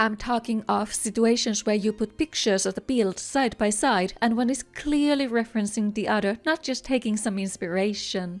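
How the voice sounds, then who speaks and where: Speaking with a non-native accent, a woman has a fairly high pitch. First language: not English. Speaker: gaming content creator. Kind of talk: scripted narration. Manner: careful articulation.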